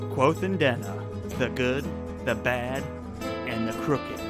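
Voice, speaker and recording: With music playing in the background, a man talks at a fairly slow pace with ordinary pitch variation. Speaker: podcast host. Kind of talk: casual podcast chat.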